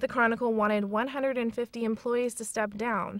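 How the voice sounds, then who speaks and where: At a moderate pace, a woman with an unremarkable speaking voice talks in a fairly high pitch. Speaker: TV news reporter. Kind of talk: TV news package narration.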